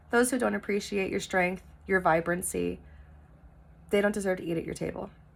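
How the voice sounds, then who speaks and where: A woman speaks at a fairly quick pace with vocal fry. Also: medium pitch for a woman. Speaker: tarot reader. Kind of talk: spiritual tarot reading monologue. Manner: loud; energetic.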